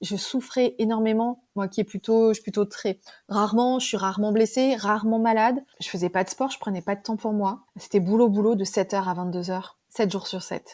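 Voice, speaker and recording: Hardly pausing, a woman talks in a fairly high pitch with a dark, mellow tone and fairly even intonation. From France, Ardèche countryside. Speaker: wellbeing coach, former manager. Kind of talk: interview testimony. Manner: fast; halting, many fillers.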